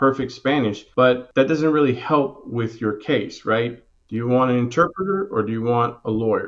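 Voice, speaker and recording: Speaking in a New Orleans accent, a man talks at a medium pitch and a moderate pace with ordinary pitch variation. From New Orleans, Louisiana. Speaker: criminal defense and immigration lawyer. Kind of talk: interview.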